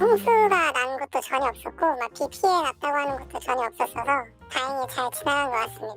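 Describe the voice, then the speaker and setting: A put-on character voice at a fairly quick pace over clear background music. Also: woman, high pitch for a woman. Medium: machinima. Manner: composed, teasing.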